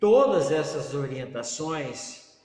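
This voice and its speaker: A man's lively, fairly slow delivery, with noticeable background noise and audible room echo. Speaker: pastor. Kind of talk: sermon.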